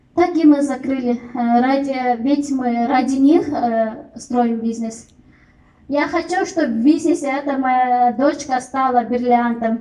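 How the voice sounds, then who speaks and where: A high-pitched woman's voice at a very slow pace, with fairly even intonation. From Kyrgyzstan. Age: 30s. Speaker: network marketing distributor. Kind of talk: testimony. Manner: halting, many fillers.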